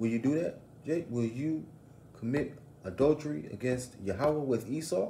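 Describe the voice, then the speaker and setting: With a dark, mellow tone and a somewhat breathy quality, this man talks at a moderate pace. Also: medium pitch for a man, lively intonation. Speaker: religious teacher. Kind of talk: bible lesson.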